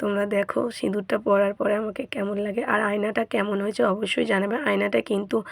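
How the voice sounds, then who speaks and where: A woman's medium-pitched voice carries vocal fry. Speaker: beauty vlogger. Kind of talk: makeup tutorial.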